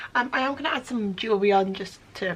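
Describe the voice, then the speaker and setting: A woman speaks at a fairly high pitch and a moderate pace, with ordinary pitch variation. Her tone is relaxed, and there is noticeable background noise. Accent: British. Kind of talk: casual vlog talk to camera. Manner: relaxed, chatty.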